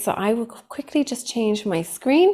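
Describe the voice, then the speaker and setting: With a strong Cork accent, a woman speaks in a dark, mellow tone at a moderate pace with ordinary pitch variation. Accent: thick Cork. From Ireland, Cork. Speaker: psychotherapist giving a training. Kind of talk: online training workshop.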